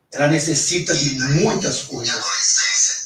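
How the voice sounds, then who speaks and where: In a room with audible echo, a man talks at a fairly slow pace with a fairly high pitch. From Brazil, São Paulo (Vila Maria). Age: 60s. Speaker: teacher and political pre-candidate. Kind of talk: radio interview. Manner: halting.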